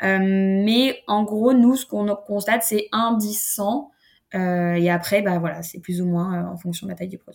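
A woman talks fairly slowly at a medium pitch, in an unremarkable speaking voice. Her loudness swings widely. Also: fairly even intonation. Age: 30s. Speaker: startup founder and industry association president. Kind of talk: interview.

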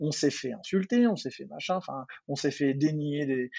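Talking at a fairly quick clip, a man uses a normal speaking voice with fairly high pitch and ordinary pitch variation. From Paris, France. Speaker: dentist. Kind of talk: casual chat.

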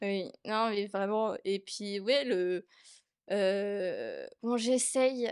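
A woman speaks very slowly at a fairly high pitch, with fairly even intonation. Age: 20s. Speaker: artist. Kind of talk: testimony. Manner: halting.

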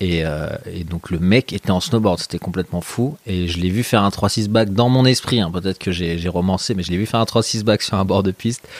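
A man speaks at a fairly quick pace in a very deep, low voice, with hardly any pauses. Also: ordinary pitch variation. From Paris region, France (Meudon suburbs). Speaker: snowboard photographer and filmmaker. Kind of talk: casual chat. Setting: at home in his kitchen.

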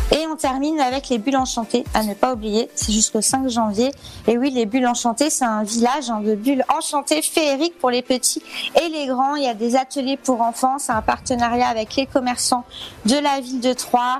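Against noticeable background noise, a woman with a high pitch speaks with fairly even intonation. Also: moderate pace. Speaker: local events presenter. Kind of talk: radio segment of local event listings. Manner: chatty, hesitant.

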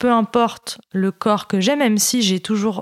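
On a very clean recording with a silent background, a woman's voice sounds dry and close with no echo, her intonation fairly even. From Paris region, France. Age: 20s. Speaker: eating disorder survivor. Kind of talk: testimony. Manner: halting.

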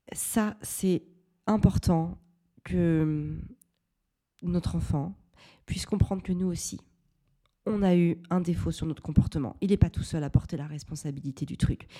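A woman with a fairly low pitch and a dark, mellow tone speaks at a fairly slow pace with long, frequent pauses, ordinary pitch variation and big swings in loudness, on a very clean recording with a silent background. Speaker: parenting podcaster, mother. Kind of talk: solo podcast monologue.

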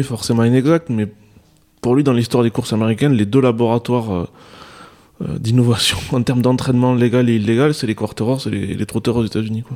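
A man with a southwestern French accent talks at a fairly quick pace. His medium pitch keeps a fairly even intonation. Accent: southwest French. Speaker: horse racing journalist. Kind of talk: radio panel discussion.

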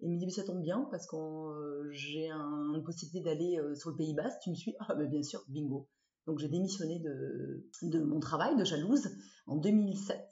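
A woman talks at a moderate pace with ordinary pitch variation. Her pitch is fairly low. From southwest France, Dordogne (Bergerac). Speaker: former fashion journalist, rugby player's wife. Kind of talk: interview. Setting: at home. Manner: animated.

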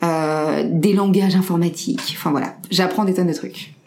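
A woman speaking at a fairly slow pace with fairly even intonation, amid noticeable background noise and audible room echo. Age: 30s. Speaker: entrepreneur. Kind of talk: interview.

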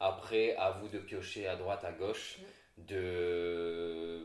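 A man speaks with fairly even intonation, audible room echo around him. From Réunion (La Chaloupe Saint-Leu area). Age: 20s. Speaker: content creator. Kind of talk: casual chat.

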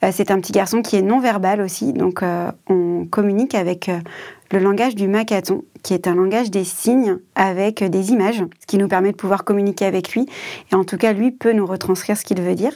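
Her voice has a medium pitch and a dark, mellow tone, captured on a very clean recording, silent background. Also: ordinary pitch variation, fairly quick pace. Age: 30s. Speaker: caregiving mother, association employee. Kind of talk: testimony.

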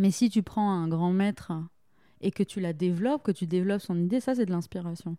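A woman with a dark, mellow tone and medium pitch talks at a fairly quick pace with ordinary pitch variation, in a very clean recording with a silent background and a dry, close sound with no echo. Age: 20s. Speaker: theatre and opera director. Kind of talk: casual interview.

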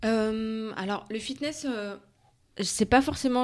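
A woman speaks with a plain, everyday voice at medium pitch and ordinary pitch variation. The recording is very clean with a silent background. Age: 30s. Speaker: fitness coach and entrepreneur. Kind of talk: interview.

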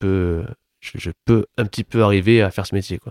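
A man with a very deep, dark, mellow voice speaks at a moderate pace in a monotone, flat intonation, with a dry, close sound with no echo on a very clean recording with a silent background. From Toulouse, southern France. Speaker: playwright and stage director. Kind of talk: interview.

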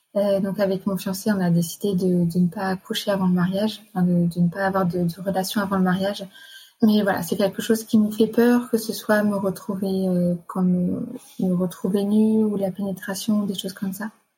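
Monotone and flat, a woman speaks at a medium pitch. Her pace is moderate. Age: 20s. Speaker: nurse. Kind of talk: personal testimony. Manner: hesitant.

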